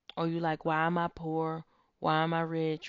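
A woman's warm tone at a very deep, low pitch. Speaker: podcast host. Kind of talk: faith-based pep talk with guided visualization exercise. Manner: warm, earnest, encouraging; emphatic, affirming, repeating key phrases.

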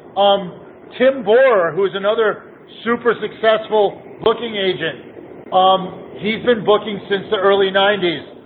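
A man with a high pitch speaks at a fairly slow pace with fairly even intonation over noticeable background noise. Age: 40s. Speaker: music booking agent. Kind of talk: casual chat.

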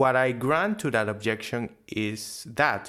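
A man with a Spanish accent, medium pitch and lively intonation, on a very clean recording with a silent background. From Venezuela. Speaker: podcast co-host. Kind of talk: casual discussion podcast.

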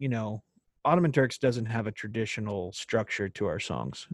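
A man's voice with a Texan accent, dry and close with no echo. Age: 30s. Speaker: country singer-songwriter. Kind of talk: casual chat.

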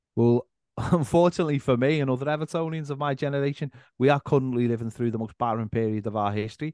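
In a Liverpool accent, a man speaks at a very fast pace with a medium pitch and ordinary pitch variation. The sound is dry and close with no echo, over a quiet background. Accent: Scouse. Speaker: football fan content creator. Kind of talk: casual chat.

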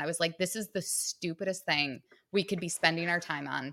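Bright and sharp, a woman's voice carries an American accent. She moves at a fairly quick pace with ordinary pitch variation. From Michigan, suburb of Detroit. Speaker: author and business owner, former bartender. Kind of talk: casual chat.

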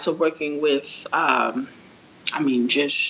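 Noticeable background noise sits behind a woman with a New York accent. She speaks very slowly, her pitch swinging very widely. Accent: New York City English. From New York City, Queens. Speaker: sports business and marketing professional. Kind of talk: interview.

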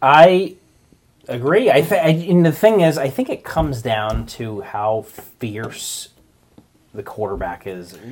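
Speaking at a very slow pace, a man with a fairly high voice makes very wide pitch swings and big swings in loudness. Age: 30s. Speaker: sports podcast co-host. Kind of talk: casual chat.

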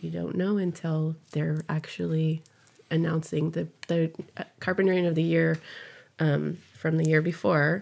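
With a Californian accent, the speaker talks at a fairly slow pace in a monotone, flat intonation on a very clean recording with a silent background. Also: woman, very deep, low pitch for a woman. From US West Coast, San Fernando Valley, California. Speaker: community volunteer. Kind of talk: interview. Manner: halting, many fillers.

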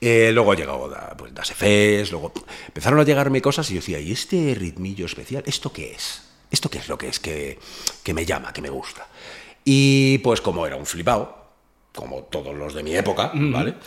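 A man's voice shows vocal fry, very wide pitch swings and big swings in loudness. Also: moderate pace. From Spain, Madrid area (Fuenlabrada). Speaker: rapper. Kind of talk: casual chat. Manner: animated.

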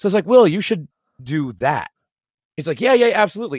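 Recorded very cleanly against a silent background, a man speaks with very wide pitch swings in a dry, close sound with no echo. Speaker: podcast host. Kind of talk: casual chat.

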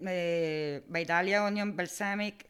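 In a very clean recording with a silent background, a woman with a fairly low pitch speaks in an Italian accent with fairly even intonation. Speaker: food entrepreneur. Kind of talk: interview. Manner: halting.

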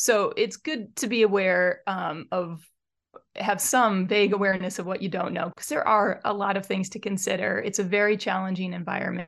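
A woman with an American accent talks at a moderate pace and medium pitch, her intonation fairly even, in a plain, everyday voice. The background is quiet. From Michigan, Metro Detroit. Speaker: mountain guide and field biologist. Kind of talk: interview conversation.

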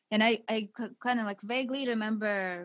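A woman speaks with a Russian accent at a fairly slow pace and with fairly even intonation. The recording is very clean with a silent background, and the sound is dry and close with no echo. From Siberia, Russia. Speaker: wife of author and coach. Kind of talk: casual interview.

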